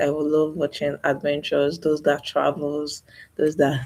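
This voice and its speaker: A woman speaks in a very deep, low pitch. She is soft-spoken. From Nigeria. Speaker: YouTuber. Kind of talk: live stream monologue.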